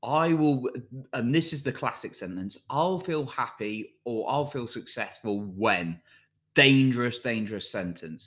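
A man's plain, everyday voice at medium pitch and a fairly slow pace, lively in intonation, on a very clean recording with a silent background. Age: 30s. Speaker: self-help podcast host. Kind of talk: motivational monologue.

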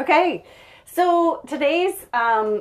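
A woman with a Maritime Canadian accent and very wide pitch swings. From Prince Edward Island, Canada. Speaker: podcast co-host. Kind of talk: casual chat. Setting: sauna.

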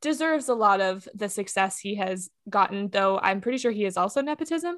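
On a very clean recording with a silent background, a woman with an unremarkable speaking voice and an American accent talks with lively intonation at a fairly high pitch. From Texas. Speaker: comedian. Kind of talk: casual chat.

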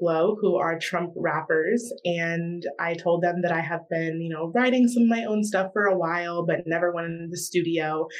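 A woman speaks with an American accent at a fairly low pitch. Her pitch varies an ordinary amount, in a plain, everyday voice. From US South, South Carolina. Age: young. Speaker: rapper and student. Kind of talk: interview.

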